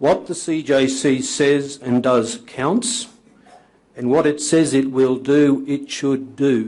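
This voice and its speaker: A man with an Australian accent, fairly high-pitched, at a very slow pace with ordinary pitch variation. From Australia, Queensland (Maryborough). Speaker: whistleblower, former trade union organiser. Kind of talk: formal testimony before a committee. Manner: formal, prepared with some hesitations.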